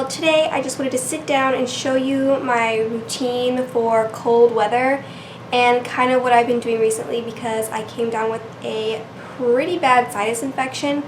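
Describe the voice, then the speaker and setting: With noticeable background noise, a woman speaks at a moderate pace in a high pitch with fairly even intonation. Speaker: beauty vlogger. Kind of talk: makeup tutorial talk to camera. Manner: casual, relaxed.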